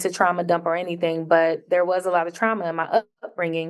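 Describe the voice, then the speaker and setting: Her pitch fairly low, a woman talks at a moderate pace. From Camden NJ / Philadelphia, Jamaican household. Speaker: comedian. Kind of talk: casual interview chat.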